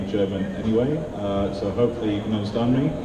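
A man speaks at a fairly quick pace in a fairly low pitch with ordinary pitch variation. Background noise is clearly audible.

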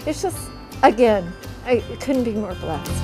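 Clear music plays in the background as a woman speaks at a moderate pace. Her pitch is fairly high, with ordinary pitch variation. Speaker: daughter of the rafter. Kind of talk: interview answer. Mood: warm, grateful, emotional. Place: garden.

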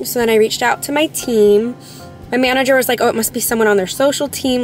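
A woman speaks in a dry recording with no echo while faint music plays in the background. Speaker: vlogger. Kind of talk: casual vlog chat. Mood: mildly upset, storytelling. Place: car. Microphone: phone near.

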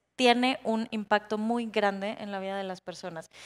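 A woman with a normal speaking voice talks at a fairly slow pace and fairly high pitch, keeping her intonation fairly even. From Baja California, Mexico. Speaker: interior designer, panelist; panelist. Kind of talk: panel discussion on stage. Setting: conference stage with audience. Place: stage. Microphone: handheld.

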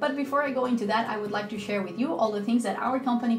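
A woman's voice with ordinary pitch variation over clear music in the background. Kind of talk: casual vlog talk. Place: home room.

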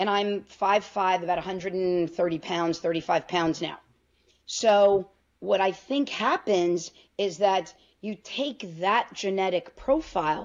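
A woman talks at a very slow pace with an American accent. The background is quiet. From New York. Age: 50s. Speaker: physician (OB-GYN). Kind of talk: interview. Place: home room. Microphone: video call.

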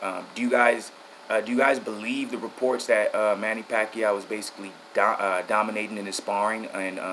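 Over light background noise, a man speaks at a moderate pace in a fairly low pitch. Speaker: boxing vlogger. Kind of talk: casual vlog chat. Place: home room. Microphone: phone near.

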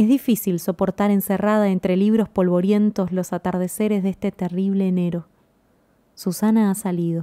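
In a very clean recording with a silent background, a woman with a medium pitch and a dark, mellow tone speaks at a moderate pace with flat, monotone intonation, the sound dry and close with no echo. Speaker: audiobook narrator. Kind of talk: reading aloud. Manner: changes tone for quoted parts.

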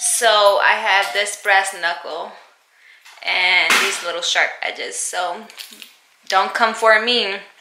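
A woman at a very slow pace over noticeable background noise. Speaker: mom vlogger. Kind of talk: casual vlog chat. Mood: playful, upbeat. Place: home room. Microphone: phone near.

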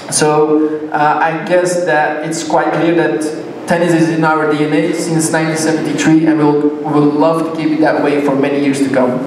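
Over light background noise and audible room echo, a man talks at a fairly slow pace in a fairly high pitch with monotone, flat intonation. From Belgium. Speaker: sponsor representative. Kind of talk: ceremony speech. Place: hall.

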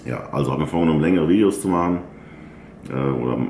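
A man's very deep, low voice with audible room echo and light background noise. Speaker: bodybuilder vlogger. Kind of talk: casual vlog chat. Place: home room.

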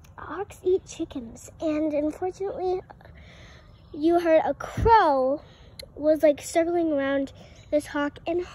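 A woman speaks at a fairly slow pace in an extremely high voice, with ordinary pitch variation and a dry sound that has no echo. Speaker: home vlogger. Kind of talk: casual vlog chat. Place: garden. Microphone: phone near.

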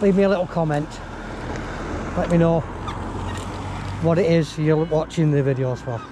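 A man speaks at a moderate pace with a fairly high pitch and ordinary pitch variation. Clear background noise can be heard.

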